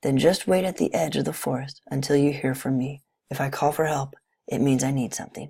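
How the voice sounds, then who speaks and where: This is a put-on character voice, raspy and pitched low-to-middle. It moves at a fairly quick pace. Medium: read story. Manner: gentle, motherly.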